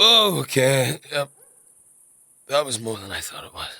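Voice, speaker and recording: A man puts on a character voice, raspy and medium in pitch. He delivers it at a fairly slow pace. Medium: audio drama. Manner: hesitant, stammering.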